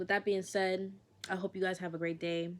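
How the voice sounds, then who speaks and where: In a relaxed tone, a woman speaks at medium pitch and a moderate pace with monotone, flat intonation. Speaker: lifestyle vlogger. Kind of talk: casual monologue to camera. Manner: casual, relaxed.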